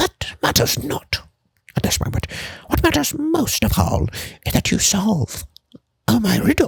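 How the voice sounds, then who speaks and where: Someone performs a put-on character voice at a moderate pace, leaving long, frequent pauses. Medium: read story. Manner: archaic, formal, theatrical.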